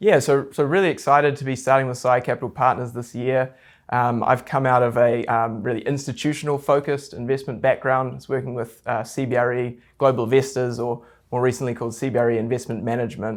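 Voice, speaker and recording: Speaking very fast with a New Zealand accent, a man at medium pitch keeps his intonation fairly even in a very clean recording with a silent background. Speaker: real estate investment advisor. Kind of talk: interview.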